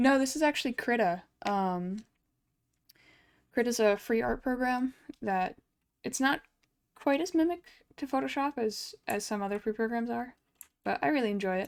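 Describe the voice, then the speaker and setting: Lively intonation and long, frequent pauses mark a woman's high-pitched voice on a very clean recording with a silent background. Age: 20s. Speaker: digital artist streamer. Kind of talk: casual chat while drawing on stream. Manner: fast.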